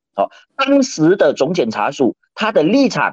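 Very wide pitch swings from a man, recorded in a dry, close sound with no echo. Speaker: lawyer and political columnist. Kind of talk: radio current-affairs commentary.

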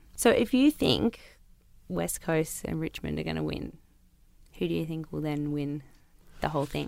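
A woman with an Australian accent at a moderate pace, with long, frequent pauses. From Newcastle, New South Wales, Australia. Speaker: sports podcast host. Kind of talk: casual chat. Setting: studio. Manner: animated.

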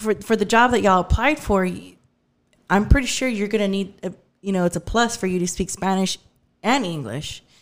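A woman with a Texan accent talks at a fairly quick pace. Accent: Texan twang. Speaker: podcast guest. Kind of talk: casual chat.

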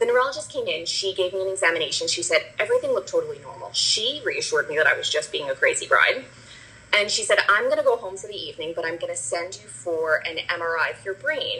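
Amid noticeable background noise, a woman with an American accent talks at a very fast pace with big swings in loudness. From New Jersey. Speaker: cosmetics brand founder. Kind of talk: interview, personal story.

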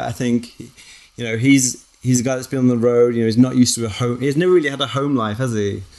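In a normal speaking voice, a man talks at a medium pitch with fairly even intonation. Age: 40s. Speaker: artist and filmmaker. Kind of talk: casual chat.

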